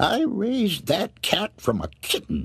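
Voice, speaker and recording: A man's put-on character voice, high for a man, with hissing, at a fairly slow pace. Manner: hissing, hateful.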